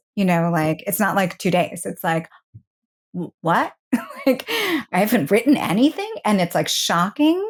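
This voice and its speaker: Somewhat breathy, a woman speaks at a fairly slow pace with long, frequent pauses and very wide pitch swings. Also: medium pitch for a woman. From New York City. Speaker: singer-songwriter and voiceover artist. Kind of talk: interview answer. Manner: casual, conversational.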